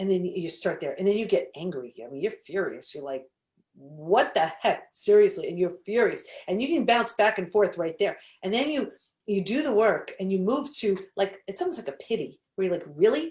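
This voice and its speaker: With an animated tone, a woman speaks in a medium pitch that moves in very wide swings. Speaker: holistic psychologist and author. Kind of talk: interview. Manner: fast.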